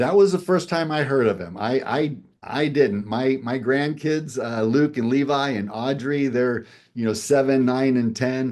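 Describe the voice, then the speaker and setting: A man with a normal speaking voice talks at a fairly slow pace, using a medium pitch and ordinary pitch variation. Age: 60s. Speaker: game show contestant. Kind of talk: interview.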